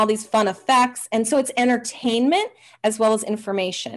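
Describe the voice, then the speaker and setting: A woman is speaking. Her tone is energetic and enthusiastic. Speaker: hypnotherapist, interview guest. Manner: fast talker; energetic, enthusiastic.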